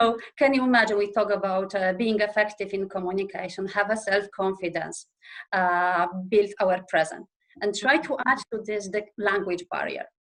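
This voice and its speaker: A woman with a Polish accent talks at a moderate pace, her medium pitch showing ordinary variation. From Poland. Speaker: operations manager. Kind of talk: interview podcast. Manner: halting with many fillers.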